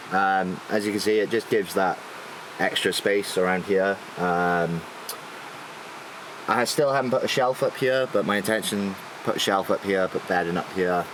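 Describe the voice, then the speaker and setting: A man speaks with a South Welsh accent and very even loudness. He leaves long, frequent pauses, with noticeable background noise behind him. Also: fairly low pitch for a man, ordinary pitch variation, moderate pace. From South Wales. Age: 20s. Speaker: naval engineer and van owner. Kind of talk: van tour walkthrough. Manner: hesitant, many fillers.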